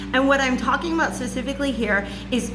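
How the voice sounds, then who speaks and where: A loud woman's voice at a fairly high pitch, with ordinary pitch variation, comes through audible room echo and noticeable background noise. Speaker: spiritual reader and channeler. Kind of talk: monologue lecture to camera. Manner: casual, filler-heavy.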